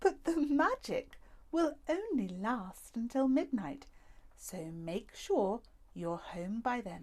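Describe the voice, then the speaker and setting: A woman puts on a character voice, high-pitched for a woman, talking at a very slow pace with very wide pitch swings. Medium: read story. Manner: warm, theatrical.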